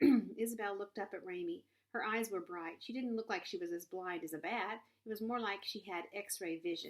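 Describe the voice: Intonation here is lively. It is plain reading aloud.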